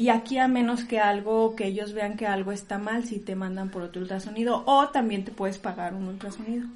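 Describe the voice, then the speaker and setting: A fairly high, somewhat breathy female voice at a fairly quick pace, with fairly even intonation. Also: hardly any pauses. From Mexico, Durango. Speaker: mother living abroad. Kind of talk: interview.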